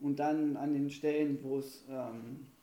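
A man's fairly high voice with a dark, mellow tone and audible room echo. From Saxony, Erzgebirge region, Germany. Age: 20s. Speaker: student teacher. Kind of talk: casual chat. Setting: home kitchen studio.

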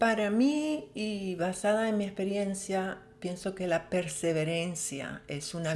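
A normal speaking voice at a fairly slow pace, with ordinary pitch variation. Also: woman. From Venezuela, El Tigre, Syrian family. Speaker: color forecaster. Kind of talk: interview.

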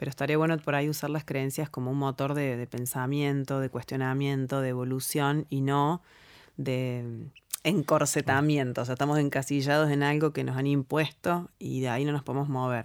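A woman's very deep, low voice, monotone and flat, at a moderate pace on a very clean recording with a silent background. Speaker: NLP practitioner and co-host. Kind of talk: casual chat.

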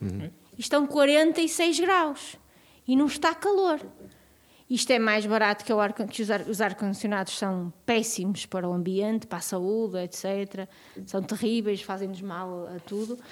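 With lively intonation, an unremarkable speaking voice proceeds fairly slowly. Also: woman, fairly high pitch for a woman. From northern Portugal, Vila Real. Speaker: podcast co-host. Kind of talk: casual interview chat.

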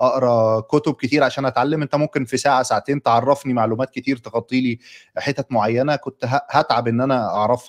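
A man's ordinary speaking voice, medium in pitch, at a fairly quick pace with ordinary pitch variation and a dry, close sound free of echo. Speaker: podcast host. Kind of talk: interview.

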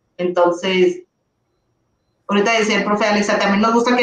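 A woman speaks in a plain, everyday voice at medium pitch. Her intonation stays fairly even. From northern Mexico, Ciudad Juárez. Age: 30s. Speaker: primary school teacher and content creator. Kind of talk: casual chat. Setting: live stream.

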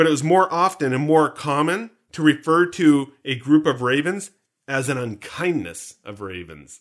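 This man has an unremarkable speaking voice with a Canadian accent, a fairly high pitch and lively intonation at a moderate pace. His loudness swings widely, and the recording is very clean with a silent background. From Canada. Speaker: podcast host. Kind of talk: casual chat.

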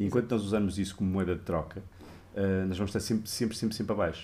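Very deep and low in pitch, a man speaks very fast in a dark, mellow, somewhat breathy tone. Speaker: game artist. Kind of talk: interview on a live stream.

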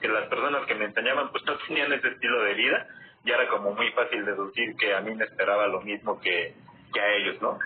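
Over noticeable background noise, a man talks at a moderate pace with very even loudness. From Mexico City. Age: 20s. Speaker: network marketing entrepreneur. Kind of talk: casual live stream chat. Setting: online live video stream.

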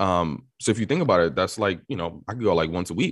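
Someone speaks fairly quickly in a New York accent with ordinary pitch variation. The recording is very clean, with a silent background. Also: man. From New York City. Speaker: tech marketer and media company owner. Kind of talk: casual interview.

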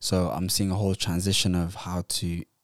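In a very clean recording with a silent background and a dry, close sound with no echo, a man speaks at a moderate pace with a very deep, low pitch and monotone, flat intonation. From Netherlands (Somali heritage). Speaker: podcast co-host. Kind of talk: casual chat.

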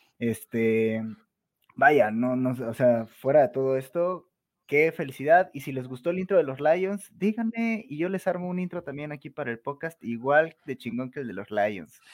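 With a Mexican accent, a man talks at a fairly slow pace in a fairly high pitch, with lively intonation and big swings in loudness. The recording is very clean, with a silent background. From Mexico, Veracruz. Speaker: guest podcaster, NFL fan. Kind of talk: casual panel discussion.

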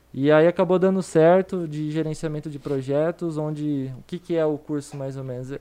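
In a normal speaking voice, a man with a fairly high pitch talks at a moderate pace with hardly any pauses, fairly even intonation and big swings in loudness. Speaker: financial educator. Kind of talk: casual chat.

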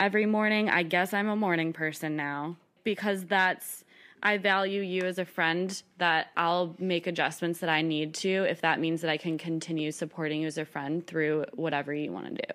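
On a very clean recording with a silent background, a woman with a fairly low pitch uses a plain, everyday voice at a moderate pace with fairly even intonation. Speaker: friend of host. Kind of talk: casual chat.

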